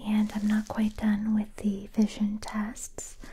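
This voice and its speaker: A woman speaks in a dark, mellow, somewhat breathy tone. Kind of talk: soft-spoken ASMR roleplay. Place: home room.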